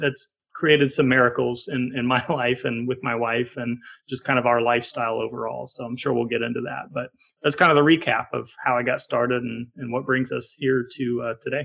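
Vocal fry runs through this man's fairly quick speech, delivered with fairly even intonation in an American accent. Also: medium pitch for a man. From Colorado, US. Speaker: real estate investor. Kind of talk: podcast interview.

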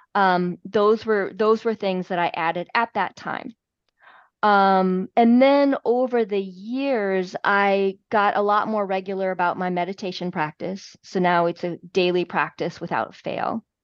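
Speaking at a fairly slow pace, a woman uses an ordinary speaking voice at medium pitch with ordinary pitch variation. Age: 50s. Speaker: health and fitness coach. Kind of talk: interview.

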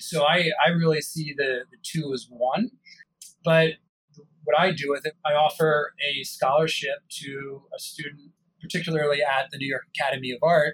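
An unremarkable speaking voice from a man with an American accent comes through at a moderate pace, fairly high in pitch with fairly even intonation and a dry, close sound with no echo. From US, Italian American family. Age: 40s. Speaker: wine company founder. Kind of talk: interview.

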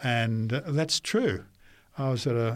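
A man speaks with an Australian accent and ordinary pitch variation. The recording is very clean, with a silent background. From Queensland, Australia (Brisbane). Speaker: pastor. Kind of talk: interview.

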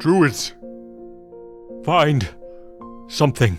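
Clear music plays behind a man using a put-on character voice. He speaks at a fairly slow pace. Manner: formal, slow, commanding.

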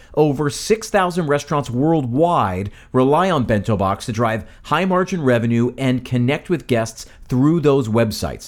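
Lively intonation marks a man's normal speaking voice, medium in pitch and moderate in pace. He takes hardly any pauses, and the recording is very clean with a silent background. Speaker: podcast host. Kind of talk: scripted-style podcast promo and tips.

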